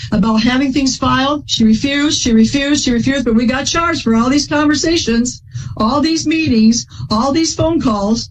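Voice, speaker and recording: A woman talks loudly at a high pitch with ordinary pitch variation. Noticeable background noise sits behind her. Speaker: plaintiff in a court case. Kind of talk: courtroom testimony. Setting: courtroom. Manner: fast.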